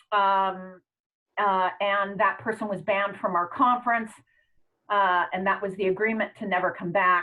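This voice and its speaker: A normal speaking voice from a woman, with a medium pitch, fairly even intonation and a moderate pace. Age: 60s. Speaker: astrologer and conference organizer. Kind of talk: online town hall discussion.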